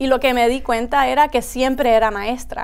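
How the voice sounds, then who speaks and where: This is a woman speaking. Her pace is moderate. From US, Rockville, Maryland; Puerto Rican family; Maryland. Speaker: high school principal. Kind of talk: interview conversation. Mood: warm, smiling, relaxed. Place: studio. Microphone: lapel.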